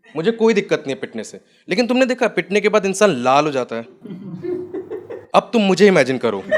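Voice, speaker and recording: The speech moves at a moderate pace with long, frequent pauses, big swings in loudness and very wide pitch swings. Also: man, high pitch for a man. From Jaipur, India. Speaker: stand-up comedian. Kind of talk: stand-up comedy set. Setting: live comedy venue.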